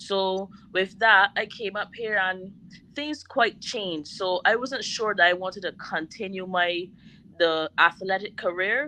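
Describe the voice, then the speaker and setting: With a Bajan accent and a bright, sharp tone, this voice moves at a fairly slow pace with ordinary pitch variation over a quiet background. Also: woman, medium pitch for a woman. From Barbados. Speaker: chef and caterer. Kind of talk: interview.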